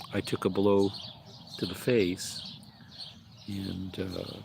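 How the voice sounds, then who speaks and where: Over noticeable background noise, a man with an American accent speaks very slowly in a very deep, low voice, with monotone, flat intonation and long, frequent pauses. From Illinois, US Midwest. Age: 60s. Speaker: livestreamer. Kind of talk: casual livestream chat. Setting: outdoors in front of his mobile home. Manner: hesitant, many fillers.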